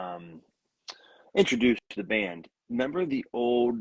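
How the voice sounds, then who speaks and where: A man talks with a Pittsburgh accent. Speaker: country musician. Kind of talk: casual chat. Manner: halting, many repeated words.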